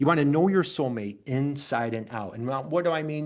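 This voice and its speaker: Speaking at a moderate pace with an upstate New York accent, a man with a fairly high pitch sounds animated and uses ordinary pitch variation. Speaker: business coach. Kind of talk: webinar presentation.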